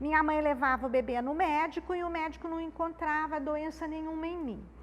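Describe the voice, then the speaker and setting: A woman's high voice at a fairly quick pace, with fairly even intonation. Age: 60s. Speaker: spiritual therapist and author. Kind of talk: public talk. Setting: live audience, no microphone. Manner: conversational, informal.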